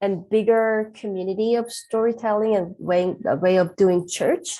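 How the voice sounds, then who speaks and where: A woman's very slow, fairly high-pitched voice, dark and mellow in tone, with ordinary pitch variation and a quiet background. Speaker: pastor. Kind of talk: interview. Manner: halting, with fillers.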